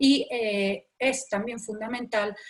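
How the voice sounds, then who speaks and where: A woman's ordinary speaking voice, fairly high-pitched, with ordinary pitch variation. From Andalusia, Spain. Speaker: professor. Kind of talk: lecture.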